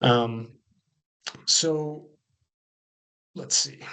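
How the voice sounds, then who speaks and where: With an American accent, a man speaks at medium pitch with ordinary pitch variation. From California, US. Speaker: coffee cooperative manager. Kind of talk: webinar presentation.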